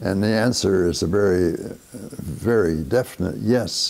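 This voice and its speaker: A man speaks with a Canadian accent at a fairly slow pace. His pitch variation is ordinary. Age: 80s+. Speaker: big band leader and saxophonist. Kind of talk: interview answer. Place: home room. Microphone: lapel.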